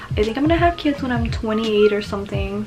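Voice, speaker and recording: A woman speaks with an American accent over music in the background. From Texas. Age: 20s. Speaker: beauty YouTuber. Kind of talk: casual vlog Q&A. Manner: animated.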